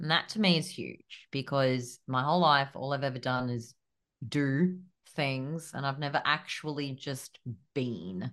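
In an Australian accent, a woman speaks at a fairly slow pace with a very deep, low pitch. The background is quiet. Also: ordinary pitch variation. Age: 30s. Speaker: business coach and podcast co-host. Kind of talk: casual chat.

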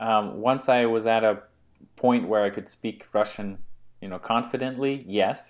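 At a fairly slow pace, this is a normal speaking voice with fairly even intonation. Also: man, medium pitch for a man. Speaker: podcast host. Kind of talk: casual conversation.

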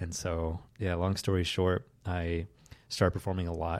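A man's very deep, low, monotone voice with flat intonation and an American accent. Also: very clean recording, silent background. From US South, Southeast Tennessee. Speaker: former magician, storytelling entrepreneur. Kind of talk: interview conversation. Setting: his office.

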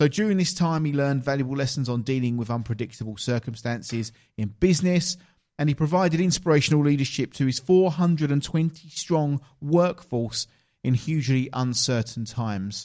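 A man with an Essex accent talks at a fairly quick pace in a fairly high pitch, his tone dark and mellow and his pitch variation ordinary. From southeast England. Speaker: podcast host and coach. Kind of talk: casual interview. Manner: animated.

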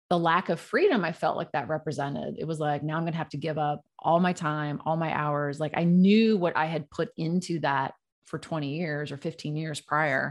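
A woman's very deep, low voice with an American accent, moderate pace and hardly any pauses, against a quiet background. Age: 50s. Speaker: burnout coach, former corporate executive. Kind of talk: interview conversation. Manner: animated.

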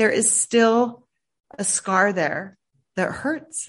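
A woman's voice with ordinary pitch variation. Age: 50s. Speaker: mental health advocate and keynote speaker. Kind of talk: interview. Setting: remote call.

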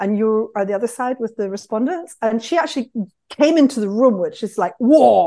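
A woman with a British accent talks fairly quickly at a fairly high pitch, her tone dark and mellow. The intonation is lively and the background quiet. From United Kingdom. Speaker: market researcher. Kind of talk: casual interview conversation.

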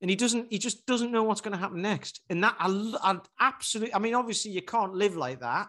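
A man's raised, projected voice, high-pitched and bright and sharp, at a fairly quick pace with hardly any pauses and ordinary pitch variation. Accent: Geordie. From northern England, Newcastle. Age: 40s. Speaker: personal trainer. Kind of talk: casual chat.

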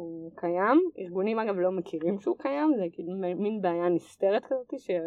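An ordinary speaking voice. The intonation is lively. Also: woman. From Israel, Nesher. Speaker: tech entrepreneur. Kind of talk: interview.

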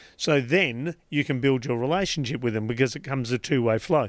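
A man's ordinary speaking voice, fairly high in pitch, at a moderate pace with ordinary pitch variation, on a very clean recording with a silent background. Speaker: life coach podcaster guest. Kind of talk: radio interview. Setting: radio studio.

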